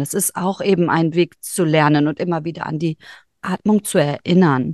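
A woman speaks against a quiet background. The sound is dry and close, with no echo. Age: 40s. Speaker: human design reader and yoga teacher. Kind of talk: casual interview chat.

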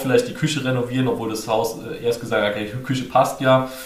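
Over noticeable background noise and audible room echo, a man speaks very fast at medium pitch with fairly even intonation. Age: 30s. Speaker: finance course instructor. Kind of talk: interview.

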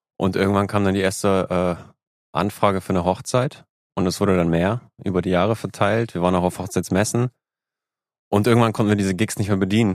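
Speaking at a fairly quick pace with a fairly low pitch, a man keeps his intonation fairly even and takes long, frequent pauses. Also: very clean recording, silent background. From northern Germany, Lübeck. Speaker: music booking agency owner and musician. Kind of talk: casual interview chat.

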